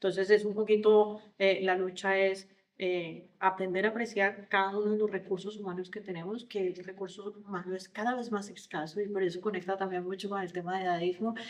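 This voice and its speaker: Woman with a Colombian accent, medium pitch, flat monotone delivery, a fairly quick pace and hardly any pauses. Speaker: leadership consultant and coach. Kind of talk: podcast interview. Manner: hesitant, many fillers and repetitions.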